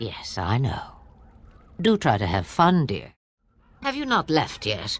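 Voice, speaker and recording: A put-on character voice at a middle pitch, fairly slow, with long, frequent pauses. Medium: video game. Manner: archaic, sardonic.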